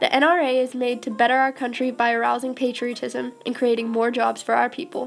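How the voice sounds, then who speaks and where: Over music in the background, a woman talks at a fairly quick pace with hardly any pauses, her high-pitched voice flat and monotone. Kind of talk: mock government infomercial.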